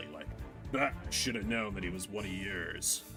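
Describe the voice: Over music in the background, a man growls in a put-on character voice, fairly low in pitch and at a moderate pace.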